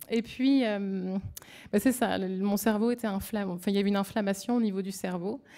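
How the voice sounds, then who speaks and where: A woman talks at a medium pitch with a dark, mellow tone. She moves at a fairly quick pace in a very clean recording with a silent background. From France. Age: 30s. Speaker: brain tumour patient. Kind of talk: testimony. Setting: symposium audience. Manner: halting, hesitant.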